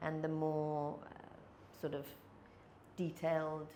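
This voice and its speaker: A woman at a fairly slow pace, her pitch very deep and low, amid audible room echo. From England. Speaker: sales and people skills trainer. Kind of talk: podcast interview.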